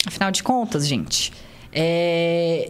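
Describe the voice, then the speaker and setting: Audible echo from the room hangs around a woman's speech. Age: 20s. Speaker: engineer and business owner. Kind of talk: casual chat.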